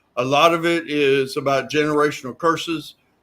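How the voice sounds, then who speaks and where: This man has an unremarkable speaking voice and fairly even intonation. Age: 60s. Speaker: recovering addict. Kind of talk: testimony.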